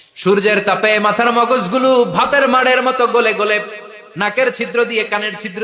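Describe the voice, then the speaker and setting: A man projects his raised voice while noticeable background noise carries on around him. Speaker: Islamic preacher. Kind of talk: Islamic sermon delivered to a live audience. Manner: emotional, emphatic, rhetorical questions to the audience.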